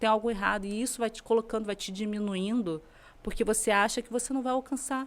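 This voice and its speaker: A woman talks at a very fast pace in a fairly high voice with fairly even intonation. Her loudness swings widely. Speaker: lawyer. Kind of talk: podcast interview.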